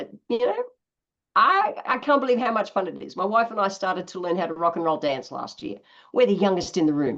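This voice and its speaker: A woman's medium-pitched voice in an Australian accent, lively in intonation and at a fairly quick pace. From Australia, east coast. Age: 60s. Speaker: naturopath. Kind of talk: interview.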